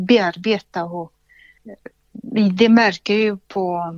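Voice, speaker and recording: A woman speaks at a very slow pace. Her fairly high voice shows ordinary pitch variation. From Soviet Union. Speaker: healthcare entrepreneur. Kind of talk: interview.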